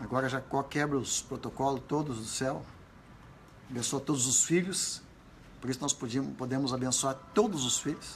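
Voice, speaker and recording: With audible room echo, a man speaks at a moderate pace with long, frequent pauses. His pitch is medium, with ordinary variation. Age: 80s+. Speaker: pastor. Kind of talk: sermon. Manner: animated.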